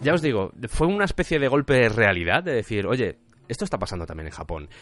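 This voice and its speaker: Over a quiet background, a man talks at a very fast pace with vocal fry and very wide pitch swings. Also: medium pitch for a man. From Spain. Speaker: podcast host. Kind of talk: podcast narration. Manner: casual, conversational.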